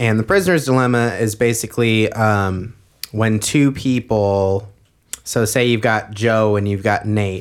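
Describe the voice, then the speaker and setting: A man with an ordinary speaking voice and fairly even intonation is heard on a very clean recording with a silent background. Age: 20s. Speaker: podcast co-host. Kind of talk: casual chat. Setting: studio.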